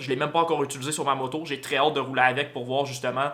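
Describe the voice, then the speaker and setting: Talking at a very fast pace, a man with a fairly high pitch and a bright, sharp tone keeps a monotone, flat intonation. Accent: Quebec. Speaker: motorcycle vlogger. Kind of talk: casual vlog talk to camera. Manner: hesitant with many fillers.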